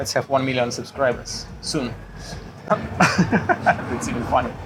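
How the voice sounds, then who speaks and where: This man speaks at a very slow pace. Noticeable background noise sits behind him. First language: Russian. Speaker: puzzle YouTuber. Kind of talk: casual interview chat. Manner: halting, many fillers.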